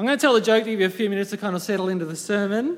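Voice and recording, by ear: A reading aloud in a natural voice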